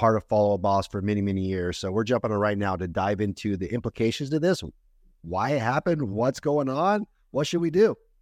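Someone with an ordinary speaking voice talks at a moderate pace against a quiet background. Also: man. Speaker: podcast host, company co-founder. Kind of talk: casual chat.

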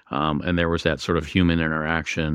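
In an American accent, a man speaks at a moderate pace with a very deep, low pitch, the sound dry and close with no echo over a quiet background. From Western Pennsylvania, Pittsburgh area. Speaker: emergency physician and hospital IT executive. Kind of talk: interview. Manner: frequent fillers and hesitations.

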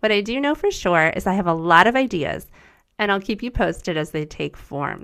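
A woman with a medium-pitched voice talks at a fairly quick pace with lively intonation and an upbeat tone on a very clean recording with a silent background. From US. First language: German. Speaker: podcast host, former teacher. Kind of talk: scripted narration.

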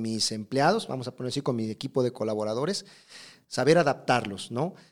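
With ordinary pitch variation, the clip presents a normal speaking voice. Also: man. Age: 40s. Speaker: hairdresser and educator. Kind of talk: interview.

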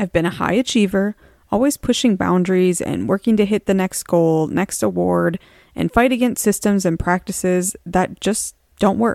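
A woman speaks at a moderate pace and medium pitch with ordinary pitch variation, in an unremarkable speaking voice. The recording is very clean, with a silent background and a dry, close sound with no echo. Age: 40s. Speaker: podcast host, marketing professional and mother. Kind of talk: solo podcast monologue. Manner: earnest, personal.

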